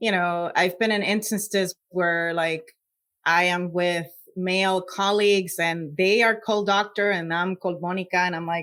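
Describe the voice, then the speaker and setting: A woman's medium-pitched voice with a Puerto Rican accent, flat and monotone at a moderate pace, on a very clean recording with a silent background. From Puerto Rico. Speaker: scientist. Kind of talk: interview.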